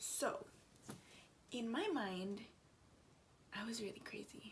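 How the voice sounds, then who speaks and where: Quiet and somewhat breathy, a woman speaks at a very slow pace with fairly high pitch and ordinary pitch variation, amid audible room echo. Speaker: vlogger. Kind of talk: casual vlog talk. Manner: quiet, lowered voice.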